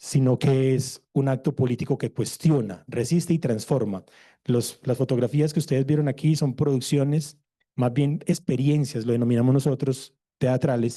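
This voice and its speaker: At a moderate pace, a man with a medium pitch speaks in a dark, mellow tone, his intonation fairly even and his loudness very even. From Colombia. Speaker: theatre researcher. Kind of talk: conference presentation.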